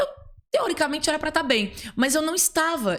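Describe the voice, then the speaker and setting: A woman speaks at a fairly quick pace. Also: very clean recording, silent background. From Minas Gerais, Brazil (Uberlândia). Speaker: podcast guest, professional trainer. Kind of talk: podcast interview, personal story.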